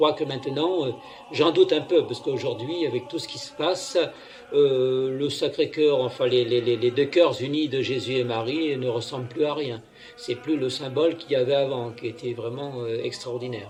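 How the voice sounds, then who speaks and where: Fairly even intonation and a moderate pace carry the speech while music plays in the background. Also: man, medium pitch for a man. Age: 60s. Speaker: self-proclaimed prophet, preacher. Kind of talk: homily. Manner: halting, many fillers and repetitions.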